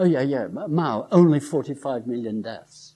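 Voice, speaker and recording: A man speaks at medium pitch with a dark, mellow tone. His pace is moderate and his intonation lively. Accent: English. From England, Lincoln. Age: 70s. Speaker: professor. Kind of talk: lecture. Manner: halting.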